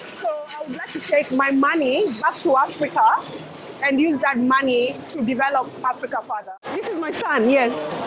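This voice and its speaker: Over music in the background, a woman with a high pitch talks at a moderate pace, her intonation lively. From Kenya. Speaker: interviewee, Kenyan migrant. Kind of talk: street interview.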